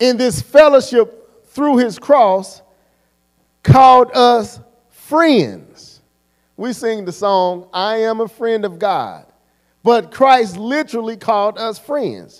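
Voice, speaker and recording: Against a quiet background, a man with an extremely high pitch talks at a very slow pace. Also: ordinary pitch variation. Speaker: preacher. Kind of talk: sermon. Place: church. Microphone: handheld.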